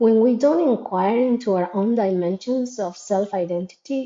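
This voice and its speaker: Here a woman speaks with a Spanish accent. Her pace is moderate and her pitch varies in an ordinary way. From Latin America. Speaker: educator in international schools. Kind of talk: reflective monologue. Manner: halting, with fillers and repetitions.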